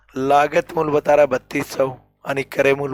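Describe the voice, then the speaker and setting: Monotone, flat speech at a fairly slow pace, dry and close with no echo, over music in the background. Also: man. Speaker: maths teacher. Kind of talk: tutorial.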